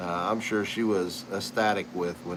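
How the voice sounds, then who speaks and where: A man's relaxed, moderately paced speech with fairly even intonation over noticeable background noise. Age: 60s. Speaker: pipe maker and channel host. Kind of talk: casual chat. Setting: live stream. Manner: relaxed, conversational.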